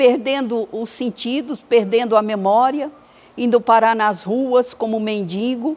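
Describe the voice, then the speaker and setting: A high-pitched woman talks at a very slow pace. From Brazil, Bahia then São Paulo. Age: 70s. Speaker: church member giving testimony. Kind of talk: testimony.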